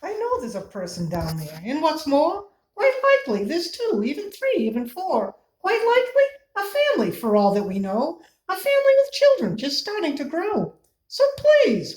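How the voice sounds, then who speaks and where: A woman does a squeaky put-on character voice at a moderate pace, her pitch extremely high. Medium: read story.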